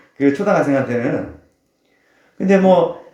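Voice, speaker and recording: Audible room echo surrounds a man's voice. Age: 50s. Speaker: pastor. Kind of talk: sermon.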